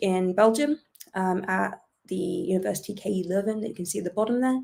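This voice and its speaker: With ordinary pitch variation and a medium pitch, the woman delivers her words at a moderate pace. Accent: British. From UK. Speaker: astrophysicist. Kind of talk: lecture.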